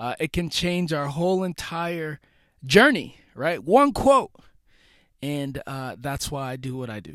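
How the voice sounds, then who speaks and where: A man's fairly high-pitched voice at a fairly slow pace, with lively intonation and big swings in loudness, on a very clean recording with a silent background. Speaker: podcast host. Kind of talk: solo motivational podcast monologue. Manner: casual, slangy; halting with repeated words.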